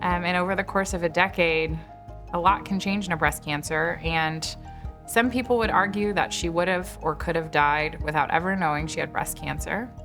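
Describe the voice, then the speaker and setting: Music plays in the background while a woman talks. She keeps a moderate pace with ordinary pitch variation. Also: fairly low pitch for a woman. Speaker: breast cancer doctor. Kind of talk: interview answer.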